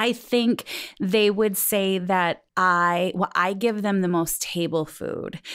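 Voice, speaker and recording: A woman with an Upper Midwest US accent speaks at a very slow pace with fairly even intonation. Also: medium pitch for a woman, very clean recording, silent background. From US Midwest, South Dakota (Sioux Falls). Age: 40s. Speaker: podcast guest. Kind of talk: casual chat. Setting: in-person conversation at a house.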